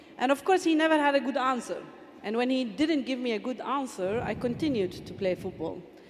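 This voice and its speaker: A woman speaks in a high-pitched voice. There is noticeable background noise. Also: fairly quick pace. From Palestine, Bethlehem. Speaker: football official, former player. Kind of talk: panel discussion. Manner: halting, many fillers.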